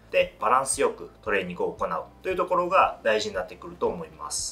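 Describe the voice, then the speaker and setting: The man's delivery moves at a fairly quick pace. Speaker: fitness trainer. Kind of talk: tutorial. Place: studio.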